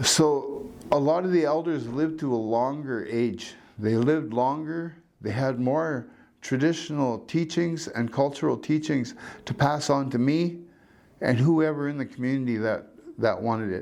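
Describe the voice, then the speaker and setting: A man talks at a moderate pace in a fairly high voice, with ordinary pitch variation. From Canada, Northwest Territories (First Nation reserve near Hay River). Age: 60s. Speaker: community elder. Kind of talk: personal storytelling interview.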